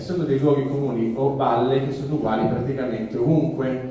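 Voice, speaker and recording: Amid noticeable background noise and audible room echo, a man talks at a medium pitch with fairly even intonation. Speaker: journalist and author. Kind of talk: public talk. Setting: stage with audience. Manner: halting, with false starts.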